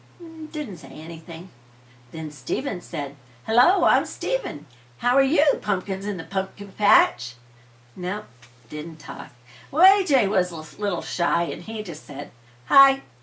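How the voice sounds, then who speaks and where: Over noticeable background noise, a woman speaks at a medium pitch and fairly slow pace, with very wide pitch swings, big swings in loudness, and long, frequent pauses. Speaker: grandmother storyteller. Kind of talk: bedtime story telling.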